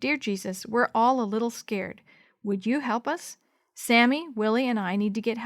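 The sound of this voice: Against a quiet background, the voice reads in an unforced way.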